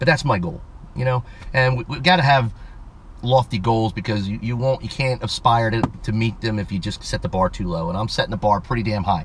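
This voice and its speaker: A man talks at a fairly quick pace in an animated tone with ordinary pitch variation. Background noise is noticeable. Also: medium pitch for a man. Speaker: automotive YouTuber. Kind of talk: casual vlog, giveaway announcement. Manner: fast.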